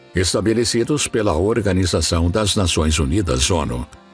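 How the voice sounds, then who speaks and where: Music plays in the background while a man talks. His pitch is very deep and low, and his pace is moderate. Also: lively intonation. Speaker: documentary narrator. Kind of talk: documentary narration.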